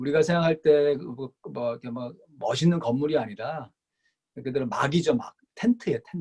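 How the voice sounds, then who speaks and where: A man's somewhat breathy, fairly high voice with big swings in loudness, dry and close with no echo. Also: moderate pace. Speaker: pastor teaching Bible study. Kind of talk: lecture.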